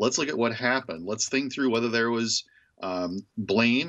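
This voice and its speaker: A man speaks at a fairly quick pace in a plain, everyday voice. His pitch varies in an ordinary way. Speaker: university professor. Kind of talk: radio interview.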